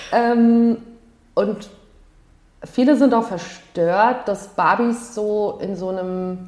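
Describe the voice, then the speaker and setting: In a room with audible echo, a woman with a fairly high pitch speaks at a very slow pace with fairly even intonation and long, frequent pauses. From Palatinate, Germany (Ludwigshafen). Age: 40s. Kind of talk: casual interview.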